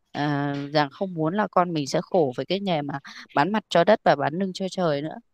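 A woman's ordinary speaking voice at a fairly low pitch, moderate in pace with ordinary pitch variation, in a dry, close sound with no echo. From Vietnam, rural hill region. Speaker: organic farming company staff. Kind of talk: interview.

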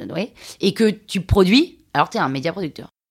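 A woman speaks in an animated tone. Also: very clean recording, silent background. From France, Limousin. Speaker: podcast producer and artist. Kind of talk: interview.

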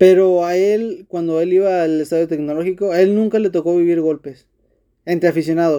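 A man with a high pitch and a dark, mellow tone speaks at a fairly quick pace with fairly even intonation. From Monterrey, Mexico. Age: 20s. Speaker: football podcaster. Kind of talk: solo casual monologue. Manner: hesitant, many fillers and repeats.

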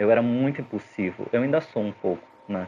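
A man speaks at a medium pitch. It is a normal speaking voice. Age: 30s. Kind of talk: casual chat.

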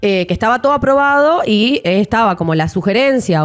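A woman's voice swings very widely in pitch. Noticeable background noise sits behind her. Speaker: podcast co-host. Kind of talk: casual chat.

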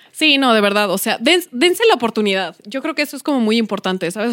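An ordinary speaking voice from a woman, fairly high and fairly quick, with lively intonation and a dry, close sound with no echo. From Mexico City, Iztapalapa. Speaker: podcast co-host. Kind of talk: casual chat.

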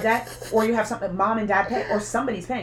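A woman talks very fast while noticeable background noise runs underneath. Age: 20s. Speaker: podcast co-host. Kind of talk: casual chat.

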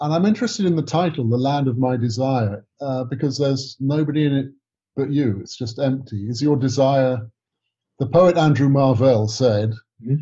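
Somewhat breathy and dark, mellow in tone, a man with an English accent speaks at medium pitch and a moderate pace with ordinary pitch variation. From England. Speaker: writer and director, co-host. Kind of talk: interview.

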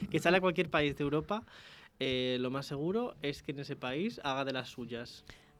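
This man has a normal speaking voice, fairly high in pitch. He keeps a moderate pace with ordinary pitch variation. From León, Spain. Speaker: university radio host. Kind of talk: casual chat. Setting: radio studio.

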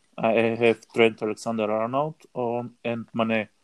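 The speaker talks at a fairly slow pace with a Bulgarian accent, and the sound is dry and close with no echo. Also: man. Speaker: fantasy football player. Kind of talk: casual chat. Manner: halting.

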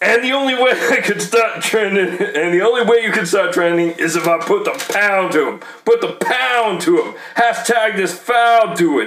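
Noticeable background noise runs under a man speaking with lively intonation. His pitch sits high for a man. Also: moderate pace. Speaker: podcast host and rapper. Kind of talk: casual banter podcast, comedic rapping.

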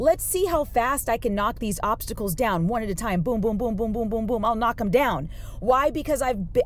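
This woman speaks at a moderate pace. Her tone is animated and her intonation lively. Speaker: podcast host. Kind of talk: motivational monologue. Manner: louder than usual.

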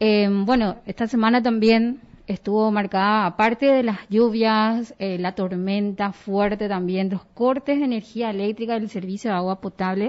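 A woman with an ordinary speaking voice and a fairly high pitch talks at a fairly slow pace with fairly even intonation and hardly any pauses. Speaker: radio host. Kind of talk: radio news talk show.

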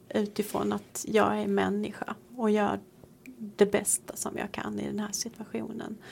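Noticeable background noise sits behind the speech. The speaker is a woman going at a fairly slow pace. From Sweden. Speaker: priest. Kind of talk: casual chat.

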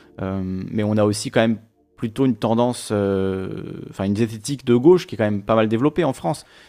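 Music plays in the background as the speaker talks at a fairly quick pace with ordinary pitch variation. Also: man, fairly low pitch for a man. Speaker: live streamer. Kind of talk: casual chat. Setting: live stream. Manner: fast.

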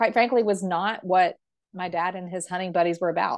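A woman speaks in a South Carolina accent with fairly even intonation. She goes at a fairly quick pace over a quiet background. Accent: US Southern (South Carolina). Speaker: hunter and volunteer. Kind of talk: interview.

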